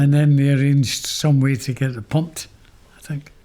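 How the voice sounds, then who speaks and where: Somewhat breathy and dark, mellow in tone, a man speaks with a fairly high pitch. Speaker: former seminary student. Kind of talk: interview answer.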